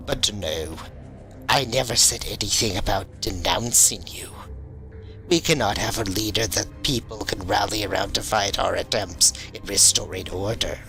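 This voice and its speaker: A man's put-on character voice at a fairly low pitch and moderate pace, with clear music in the background. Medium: audio drama. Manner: menacing, condescending.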